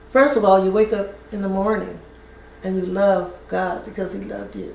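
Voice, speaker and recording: A woman's medium-pitched voice at a moderate pace, with fairly even intonation and big swings in loudness, plus audible room echo and noticeable background noise. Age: 80s+. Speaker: retired family services worker. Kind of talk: interview. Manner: halting.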